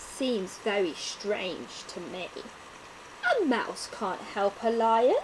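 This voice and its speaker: Against clear background noise, a woman growls in a put-on character voice at a fairly high pitch and a very slow pace. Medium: read story. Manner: gruff, scornful.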